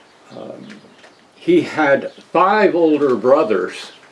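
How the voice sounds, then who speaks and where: The voice belongs to a man. There is noticeable background noise behind him. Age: 60s. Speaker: interviewee sharing family history. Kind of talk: testimony. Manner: halting.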